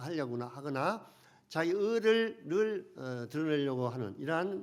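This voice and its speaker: With audible room echo behind him, a man speaks at a moderate pace, his fairly high pitch carried by lively intonation. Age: 70s. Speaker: pastor. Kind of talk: sermon.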